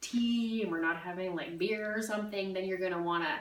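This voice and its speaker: A woman talks at a fairly quick pace with ordinary pitch variation. The recording has audible room echo and noticeable background noise. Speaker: direct sales consultant. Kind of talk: workshop talk. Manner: fast; casual, filler-heavy.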